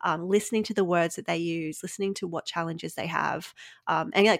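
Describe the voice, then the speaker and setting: A woman speaks at a fairly low pitch with ordinary pitch variation. The recording is very clean with a silent background, and the sound is dry and close with no echo. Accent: Australian. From Australia. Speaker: business coach and podcast host. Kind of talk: casual interview chat.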